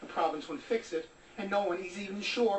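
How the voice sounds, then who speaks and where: Noticeable background noise sits behind a man speaking at a high pitch and moderate pace with ordinary pitch variation. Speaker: TV news reporter. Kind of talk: TV news report.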